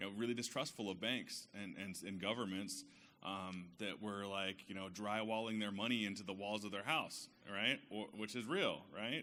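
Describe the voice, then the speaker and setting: Amid audible room echo, a man with an American accent talks at a moderate pace in a fairly low pitch. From central California, small town. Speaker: bank community manager. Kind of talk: self-introduction at business networking event. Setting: stage with audience. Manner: unprepared, casual.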